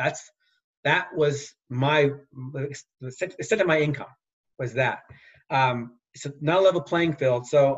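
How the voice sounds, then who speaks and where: A man's somewhat breathy, fairly high voice at a fairly slow pace, with long, frequent pauses, big swings in loudness and ordinary pitch variation. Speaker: former Olympic speed skater. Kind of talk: interview.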